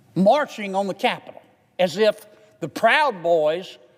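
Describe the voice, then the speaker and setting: A man with a Southern US accent speaks in a high pitch at a fairly slow pace. His pitch swings very widely. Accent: Southern US drawl. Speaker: politician. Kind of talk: legislative floor speech. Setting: legislative chamber. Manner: folksy, witty.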